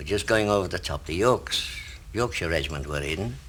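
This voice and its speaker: A man's very deep, low voice with very wide pitch swings, at a moderate pace. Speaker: war veteran. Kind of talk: interview answer.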